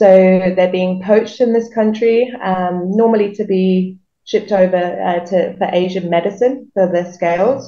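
The speech moves at a fairly slow pace with hardly any pauses and fairly even intonation, and room echo is audible. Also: woman. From southern England, Reading near London; southern England. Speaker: wildlife rehabilitator. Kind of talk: interview. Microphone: video call.

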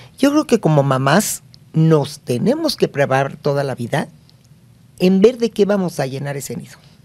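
A woman's very deep, low voice with a dark, mellow tone, very wide pitch swings, big swings in loudness and a moderate pace. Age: 60s. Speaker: family expert and psychologist; guest. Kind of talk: interview. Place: studio. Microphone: studio mic.

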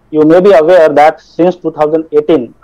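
Against a quiet background, a man with a fairly high pitch speaks in a dark, mellow tone. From India. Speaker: college faculty coordinator. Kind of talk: formal event introduction. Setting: video call. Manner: formal. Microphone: video call.

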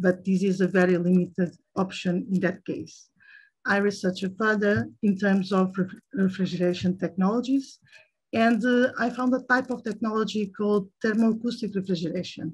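Against a quiet background, a woman with a Portuguese accent speaks at a moderate pace in a somewhat breathy voice with ordinary pitch variation. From Portugal. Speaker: chemical researcher; guest lecturer. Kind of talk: lecture. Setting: video call. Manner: halting, many fillers. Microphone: video call.

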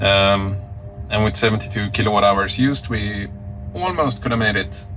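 There is music in the background while a man talks at a fairly low pitch. He keeps a moderate pace and fairly even intonation. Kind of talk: casual vlog chat. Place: car. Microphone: phone near.

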